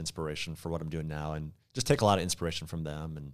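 This man speaks with an American accent. His pace is very fast. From Minnesota. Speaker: YouTuber. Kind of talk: casual chat.

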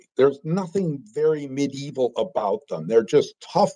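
Fairly high male pitch in an American accent, with a dark, mellow tone, lively intonation, and a dry, close sound with no echo. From US Midwest (Green Bay, Wisconsin). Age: 70s. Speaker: law professor and author. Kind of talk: interview.

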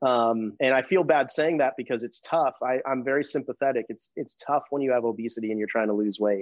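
With a normal speaking voice, a man talks at a fairly quick pace and medium pitch, with ordinary pitch variation and hardly any pauses. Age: 40s. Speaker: hormone therapy business owner. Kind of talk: casual interview.

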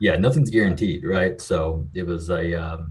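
The man's voice is very deep and low in pitch, and somewhat breathy. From western Kentucky. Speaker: marketing agency founder and CEO. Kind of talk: casual interview.

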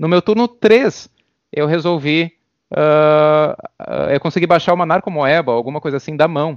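In an unremarkable speaking voice, a man with a fairly high pitch talks at a moderate pace with ordinary pitch variation. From Brazil. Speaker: competitive card game player. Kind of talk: podcast interview.

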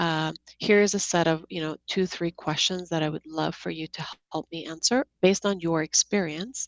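A woman's normal speaking voice, fairly low in pitch with ordinary pitch variation, at a moderate pace, with big swings in loudness, a dry, close sound with no echo and a quiet background. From Seattle, US Pacific Northwest (born in Georgia, the country). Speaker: app co-founder, tech executive. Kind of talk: podcast interview.

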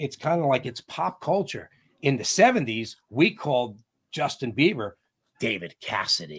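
A man with an American accent speaks at a fairly slow pace, his pitch medium. Very wide pitch swings mix with vocal fry. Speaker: band vocalist and drummer. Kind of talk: casual interview chat.

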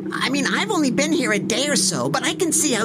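A man performs a put-on character voice. Loud background noise runs underneath. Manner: indignant, exasperated.

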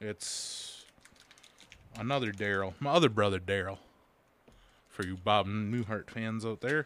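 Pausing long and often, a man with a fairly low pitch speaks at a fairly slow pace with ordinary pitch variation. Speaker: podcast host. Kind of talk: casual chat. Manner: crude, joking.

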